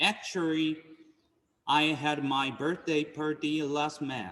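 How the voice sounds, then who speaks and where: The man's pitch is fairly high. He talks at a very slow pace. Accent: Japanese. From Japan. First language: Japanese. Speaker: Buddhist minister. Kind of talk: dharma talk. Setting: temple service streamed on Zoom.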